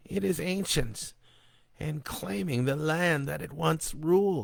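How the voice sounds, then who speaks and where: In a put-on character voice, a raspy man speaks at a fairly slow pace and fairly high pitch with very wide pitch swings. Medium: read story. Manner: solemn.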